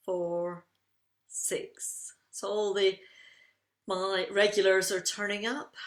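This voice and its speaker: In a Scottish accent, a woman talks at a very slow pace. Her pitch is medium. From Scotland. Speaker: tapping coach running live online sessions. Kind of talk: guided breathing exercise and group session.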